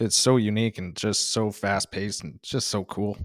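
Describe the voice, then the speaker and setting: With a slight northern Ontario accent, a man speaks in a fairly low pitch with fairly even intonation, the sound dry and close with no echo. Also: very clean recording, silent background. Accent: Canadian, slight northern Ontario. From northern Ontario, Canada. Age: 30s. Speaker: stand-up comedian. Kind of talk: casual interview chat.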